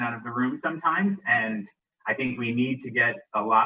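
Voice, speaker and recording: This man has a plain, everyday voice and a medium pitch. He keeps a moderate pace with ordinary pitch variation. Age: 40s. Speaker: state legislator. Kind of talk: casual interview. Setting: live video stream.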